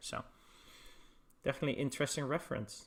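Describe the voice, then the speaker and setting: A man with a Dutch accent speaks at a fairly high pitch. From Netherlands. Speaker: esports caster. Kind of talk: live commentary.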